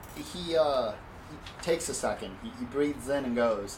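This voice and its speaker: At a moderate pace, the speaker uses lively intonation, with audible room echo and noticeable background noise. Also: man. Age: 30s. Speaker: dungeon master. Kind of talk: tabletop game narration. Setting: home garage. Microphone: echoey room.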